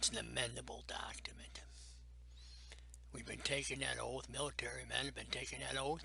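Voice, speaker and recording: With an American accent, the speaker keeps a moderate pace amid audible room echo. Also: man. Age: 70s. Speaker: navy veteran. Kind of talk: interview testimony. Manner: emphatic.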